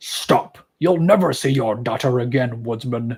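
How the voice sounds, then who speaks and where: A growling, put-on character voice at a moderate pace. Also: man, medium pitch for a man. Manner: menacing, warning.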